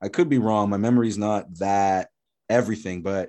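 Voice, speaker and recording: Against a quiet background, a man with a dark, mellow tone and fairly low pitch speaks at a moderate pace. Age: 30s. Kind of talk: casual chat.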